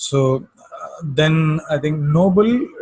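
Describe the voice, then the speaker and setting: A man speaks with a strong Indian accent at a fairly high pitch. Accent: heavy native Indian accent in English. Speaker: astrologer. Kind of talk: lecture-style commentary. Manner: hesitant, many fillers and repetitions.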